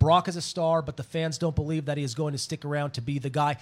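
The man talks very fast. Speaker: fill-in wrestling show host. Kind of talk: casual sports talk radio. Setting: studio.

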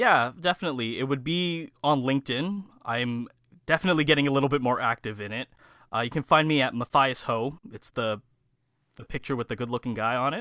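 An ordinary speaking voice from a man with a Canadian accent, medium pitch, ordinary pitch variation and a fairly quick pace. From Canada, Mississauga (Ontario). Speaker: public relations student. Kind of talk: interview.

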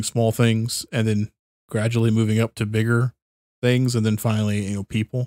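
Recorded dry and close with no echo, a man at a medium pitch speaks in an animated tone at a moderate pace. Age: 30s. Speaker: podcast host. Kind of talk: casual chat. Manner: animated, laughs often.

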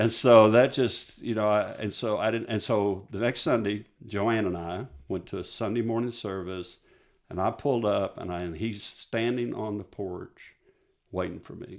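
A man with a West Texas accent, fairly low-pitched, at a moderate pace with fairly even intonation. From West Texas (Midland). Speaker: pastor. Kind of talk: testimony. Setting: studio.

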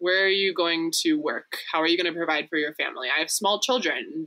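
This woman has a fairly low pitch. Her tone is bright and sharp. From Texas. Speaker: refugee center volunteer. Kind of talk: casual chat.

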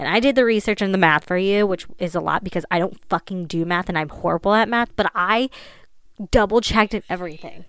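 Speaking at a very fast pace in an American accent, a woman uses a medium pitch, ordinary pitch variation and an animated tone. The recording is very clean, with a silent background. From Ohio. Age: 20s. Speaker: podcast host. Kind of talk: casual monologue.

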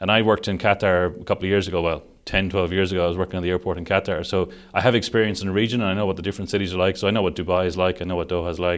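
A man with an Irish accent talks at a very fast pace in a very deep, low pitch with monotone, flat intonation. The recording is very clean with a silent background. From Ireland, Sligo (west coast). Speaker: construction digital delivery director. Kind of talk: interview.

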